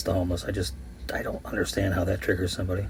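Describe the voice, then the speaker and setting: A man talks at a very fast pace. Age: 50s. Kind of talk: voice-over commentary.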